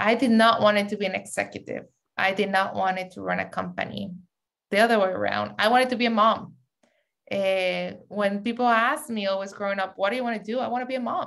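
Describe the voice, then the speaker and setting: Someone speaks at a fairly quick pace with a strong Mexican accent. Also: woman. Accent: heavy Mexican Spanish. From Mexico City, then San Diego from age 15. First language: Spanish. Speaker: media entrepreneur, CEO. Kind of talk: interview.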